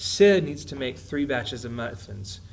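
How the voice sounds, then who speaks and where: In a room with audible echo, a man of medium pitch speaks in a somewhat breathy voice. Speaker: math teacher. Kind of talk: tutorial. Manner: fast.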